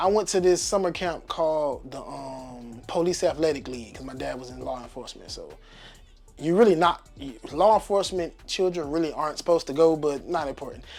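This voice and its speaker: Over music in the background, a man talks at a fairly quick pace in a fairly high pitch, with big swings in loudness. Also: ordinary pitch variation. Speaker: DJ and music producer. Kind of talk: interview. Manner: clear enunciation; casual, conversational.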